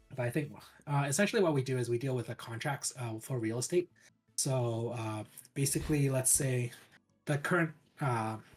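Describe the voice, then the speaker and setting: With a Canadian accent, a man at medium pitch speaks at a moderate pace with ordinary pitch variation and long, frequent pauses while music plays in the background. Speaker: government worker and streamer. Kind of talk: interview.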